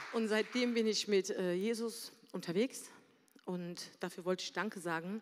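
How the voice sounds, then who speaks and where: An ordinary speaking voice from a woman, medium in pitch, fairly slow, with fairly even intonation. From Berlin, Germany. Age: 40s. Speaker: church member sharing a story. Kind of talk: testimony. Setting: stage with audience.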